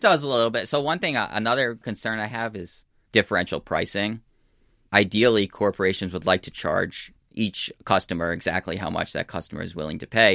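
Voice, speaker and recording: Dry and close with no echo, a man with an American accent speaks at a fairly quick pace in a fairly low pitch, his tone bright and sharp and his pitch variation ordinary. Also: very clean recording, silent background. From United States. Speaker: data scientist and author. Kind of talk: interview. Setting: studio.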